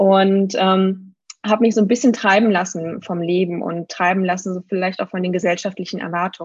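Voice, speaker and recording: She has an ordinary speaking voice at medium pitch. The woman talks at a fairly quick pace with fairly even intonation. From Germany. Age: 30s. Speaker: needs coach. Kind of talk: interview.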